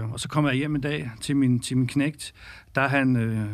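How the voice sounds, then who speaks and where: A normal speaking voice from a man, medium in pitch with ordinary pitch variation at a moderate pace, on a very clean recording with a silent background. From Denmark, North Zealand (Birkerød). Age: 40s. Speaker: women's football league director. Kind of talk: interview.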